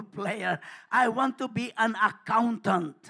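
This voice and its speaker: A man speaks in a raised, projected voice with an animated tone. His pace is fairly slow. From Philippines. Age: 70s. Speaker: pastor. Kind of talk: sermon. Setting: church.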